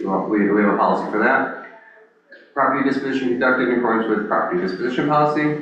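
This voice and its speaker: There is noticeable background noise and audible room echo as a man talks at a very fast pace in a medium-pitched voice with ordinary pitch variation. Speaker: land bank director presenting to board. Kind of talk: board meeting report.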